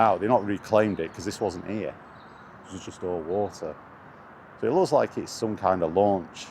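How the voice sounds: A man speaks at a low pitch with ordinary pitch variation. His pace is moderate and his tone slightly mellow.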